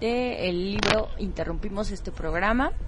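Noticeable background noise, audible room echo, and a fairly slow delivery. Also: woman. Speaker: radio co-host. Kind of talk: radio interview.

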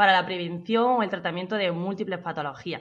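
A woman with a plain, everyday voice speaks at medium pitch and a fairly quick pace, her intonation fairly even, against a quiet background. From Andalusia, Jaén province. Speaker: personal trainer. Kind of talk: interview.

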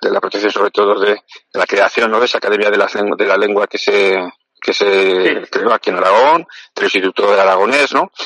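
The delivery runs at a fairly quick pace with very even loudness. The sound is dry and close, with no echo. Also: man. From Spain, Aragon (Zaragoza). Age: 50s. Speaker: politician and doctor. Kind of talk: interview. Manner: halting, many fillers.

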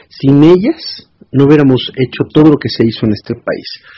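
At a fairly slow pace, a man with an ordinary speaking voice talks in a medium pitch with lively intonation. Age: 40s. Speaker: cultural organizer and activist. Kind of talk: interview.

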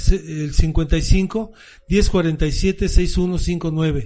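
A man's dark, mellow voice. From Mexico City. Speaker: rock drummer. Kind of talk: interview.

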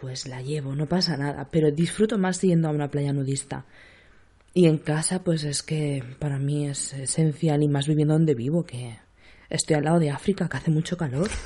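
Speaking at a moderate pace, a woman has a very deep, low pitch, a dark, mellow tone, ordinary pitch variation and a somewhat breathy quality. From Spain, Seville. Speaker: podcast host and nurse. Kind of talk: casual chat.

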